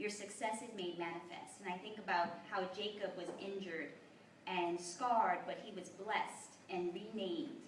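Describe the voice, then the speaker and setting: Noticeable background noise accompanies a woman speaking at a medium pitch and a moderate pace. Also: ordinary pitch variation. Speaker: poet. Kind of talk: spoken introduction at a live reading.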